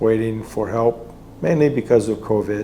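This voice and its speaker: With an American accent, a man talks at a moderate pace and medium pitch. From United States. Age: 70s. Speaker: patient, military veteran. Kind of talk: testimony.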